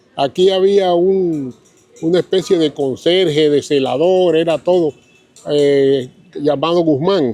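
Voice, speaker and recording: Amid noticeable background noise, a man with a fairly high pitch and ordinary pitch variation speaks at a very slow pace, his loudness very even. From Colombia, Caribbean coast (Riohacha, La Guajira). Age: 70s. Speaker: local elder sharing memories. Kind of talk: interview, reminiscing. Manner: halting, with repeated words.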